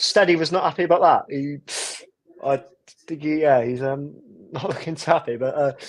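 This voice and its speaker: The pace is fairly quick. Long pauses come often. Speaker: speedway fan co-host. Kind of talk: casual chat. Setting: live stream watch party. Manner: fast.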